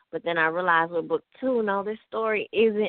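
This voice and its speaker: A woman with a Memphis accent and ordinary pitch variation. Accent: Southern US (Memphis). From US South, Memphis, Tennessee. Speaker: author. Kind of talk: radio interview.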